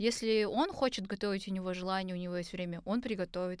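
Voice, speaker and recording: The recording is very clean, with a silent background. A woman with an unremarkable speaking voice talks at a moderate pace and medium pitch, with ordinary pitch variation. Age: 20s. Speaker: designer and singer. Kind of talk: casual chat. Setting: studio at university.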